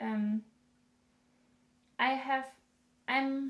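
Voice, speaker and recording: The speaker has a German accent and talks at a very slow pace. Pitch variation is ordinary. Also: woman. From northern Germany. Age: 20s. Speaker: knitting podcaster. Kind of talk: casual monologue podcast. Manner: halting, many fillers.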